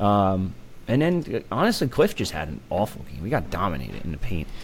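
A man with vocal fry and very wide pitch swings, at a moderate pace. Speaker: co-host recruiting analyst. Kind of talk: casual sports chat.

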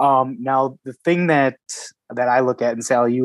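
A man with a plain, everyday voice, medium pitch and ordinary pitch variation, in a dry, close sound with no echo against a quiet background. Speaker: podcast co-host. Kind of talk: sports podcast discussion.

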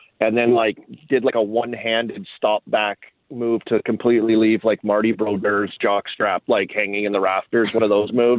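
In a Canadian prairie accent, a man talks at a moderate pace and medium pitch. His intonation is monotone and flat, and his loudness is very even. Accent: Canadian prairies English. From Saskatoon, Canada. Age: 40s. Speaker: former hockey player and analyst. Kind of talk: casual interview.

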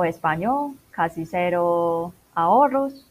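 A woman's voice at medium pitch with lively intonation. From Macau. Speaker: internationalization consultant. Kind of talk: interview.

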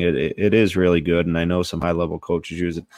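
In a very deep, low voice, a man talks at a fairly quick pace against a quiet background, with a dry, close sound and no echo. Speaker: podcast host. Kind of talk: casual banter. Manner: loud.

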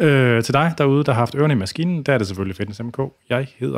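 A man talks at a very fast pace in a medium pitch. His pitch varies in an ordinary way. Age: 40s. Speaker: podcast host and fitness expert. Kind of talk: casual interview chat. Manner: halting, many fillers.

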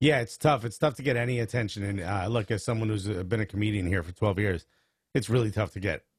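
A man speaks with an American accent, sounding somewhat breathy. The recording is very clean, with a silent background. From US Northeast, Newark, New Jersey. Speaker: stand-up comedian and soccer show host. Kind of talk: casual chat.

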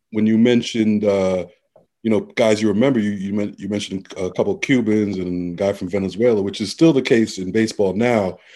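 A man talks fairly quickly in a New York accent. His voice is fairly low-pitched and dark and mellow, with fairly even intonation. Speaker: podcast co-host. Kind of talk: casual chat.

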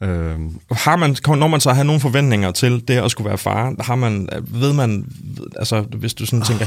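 The man has a normal speaking voice, pitched medium, with ordinary pitch variation. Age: 40s. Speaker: podcast host and father. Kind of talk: casual chat.

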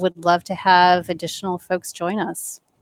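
On a very clean recording with a silent background and a dry, close sound with no echo, a woman with an American accent speaks in an unremarkable speaking voice at a medium pitch and a fairly slow pace. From Michigan. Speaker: nonprofit associate director. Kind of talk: interview.

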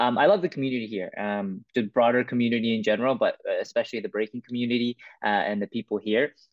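A man with a Canadian accent at a very fast pace, hardly any pauses. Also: medium pitch for a man, ordinary pitch variation. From Vancouver, Canada. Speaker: breakdancer. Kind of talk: interview. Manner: hesitant with many fillers.

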